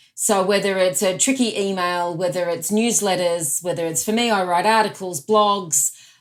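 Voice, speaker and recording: At a moderate pace with hardly any pauses, someone speaks with an Australian accent on a very clean recording with a silent background. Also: woman, medium pitch for a woman, ordinary pitch variation. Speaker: productivity expert and author. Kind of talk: podcast interview.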